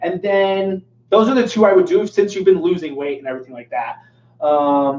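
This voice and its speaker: Lively intonation marks this man's high-pitched voice. His loudness swings widely. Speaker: fitness coach and personal trainer. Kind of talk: live Q&A stream. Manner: fast; casual, filler-heavy.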